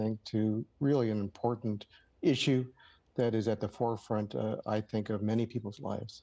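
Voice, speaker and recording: The man's voice carries a dark, mellow tone and fairly even intonation. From Los Angeles, California. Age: 60s. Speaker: playwright and lawyer. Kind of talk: TV news interview. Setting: video call. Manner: hesitant, many fillers.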